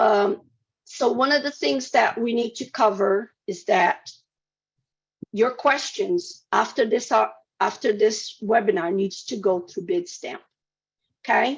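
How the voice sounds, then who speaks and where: A woman talks at a fairly slow pace in a fairly high voice, her pitch swinging very widely, with long, frequent pauses. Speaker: state procurement officer. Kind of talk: webinar presentation. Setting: webinar.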